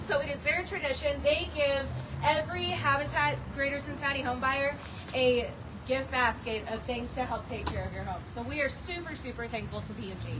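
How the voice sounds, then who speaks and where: A woman speaks at a moderate pace. The room echo is audible, and background noise is noticeable. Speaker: nonprofit volunteer coordinator. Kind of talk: ceremony speech. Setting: outdoors, rain. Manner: loud.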